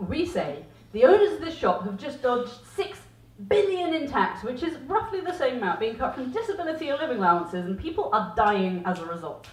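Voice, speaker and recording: Over noticeable background noise, a woman with a high voice talks at a fairly quick pace, her pitch swinging very widely. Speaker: performance poet. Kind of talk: spoken-word poetry performance. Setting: small pub with live audience. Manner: impassioned.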